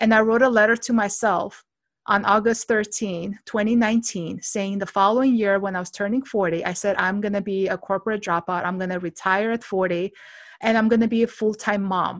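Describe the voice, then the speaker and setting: In an Armenian accent, a woman speaks at a moderate pace with a medium pitch and fairly even intonation. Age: 40s. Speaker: podcast host and health coach. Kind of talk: casual interview chat.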